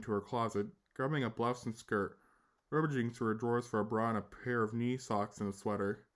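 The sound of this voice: An unforced reading voice is heard throughout.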